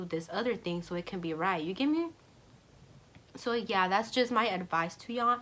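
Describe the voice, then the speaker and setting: A woman speaks in an animated tone with ordinary pitch variation. Her voice sounds bright and sharp. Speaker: YouTuber. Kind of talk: casual vlog storytime.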